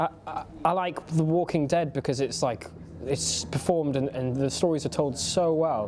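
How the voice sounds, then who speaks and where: A man speaks in a Geordie accent with a fairly high pitch. His pace is moderate. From Newcastle upon Tyne, England. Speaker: actor. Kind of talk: interview answer.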